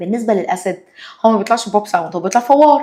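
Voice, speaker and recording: In an Egyptian accent, the speaker uses an animated tone with very wide pitch swings. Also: woman. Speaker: science teacher. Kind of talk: lesson with student.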